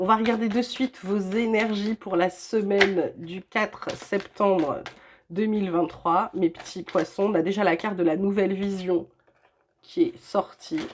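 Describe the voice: This woman puts on a character voice that sounds hoarse, pitched in her middle range. She talks at a moderate pace with ordinary pitch variation.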